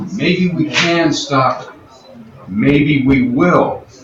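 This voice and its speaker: A fairly high-pitched man at a very slow pace with very wide pitch swings, audible room echo and music in the background. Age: 60s. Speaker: fitness coach, audience speaker. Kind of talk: talk to a live audience.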